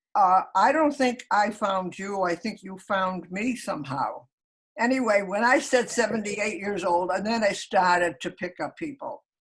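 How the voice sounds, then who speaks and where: A woman speaks at a moderate pace in a medium-pitched, somewhat breathy voice with lively intonation. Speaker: elderly blogger. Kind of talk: casual chat. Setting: video call.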